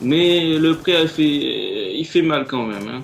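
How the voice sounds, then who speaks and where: Noticeable background noise accompanies a man who talks at a very slow pace and uses ordinary pitch variation. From Martinique. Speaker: gaming commentator. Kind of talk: gameplay commentary. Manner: casual, laughing.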